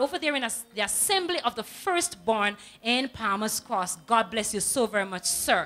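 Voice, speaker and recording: A woman's raised, projected voice at a moderate pace with faint music in the background. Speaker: TV presenter. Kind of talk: on-air greetings and prayer shout-outs. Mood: warm, devotional. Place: studio. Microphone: handheld.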